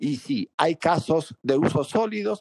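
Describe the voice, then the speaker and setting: A man speaks at a fairly slow pace in an unremarkable speaking voice. His intonation is lively, and the sound is dry and close with no echo. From Venezuela (rural Mérida). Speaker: telecom company founder. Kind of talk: interview.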